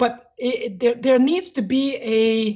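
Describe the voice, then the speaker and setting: A woman with a French accent and ordinary pitch variation. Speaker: hardware developer. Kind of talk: casual interview chat.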